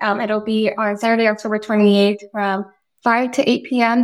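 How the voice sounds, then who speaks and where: A woman talks in an American accent at a fairly high pitch. Her intonation stays monotone and flat. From Daly City, California. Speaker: nonprofit program manager. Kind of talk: casual chat.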